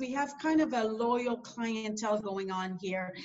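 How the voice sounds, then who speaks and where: This woman talks with a French accent. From New Brunswick, Canada (Acadian). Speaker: airport executive. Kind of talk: interview. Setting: video call.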